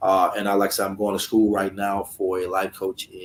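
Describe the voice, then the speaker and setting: With an American accent and a plain, everyday voice, a man speaks at a moderate pace and a fairly low pitch. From US South, Alabama. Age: 40s. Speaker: life coach and former felon. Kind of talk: interview. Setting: video call from his office.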